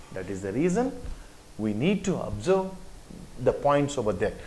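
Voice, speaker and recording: With an Indian accent, a man talks at a moderate pace with very wide pitch swings. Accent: Indian English, Telugu. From Telangana, India. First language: Telugu. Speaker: teacher. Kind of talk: lecture.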